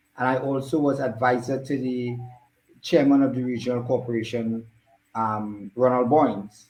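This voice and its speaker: Spoken at a moderate pace with fairly even intonation, the voice carries an audible room echo. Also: man, medium pitch for a man. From Trinidad and Tobago. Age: 60s. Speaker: politician. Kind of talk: interview. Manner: halting.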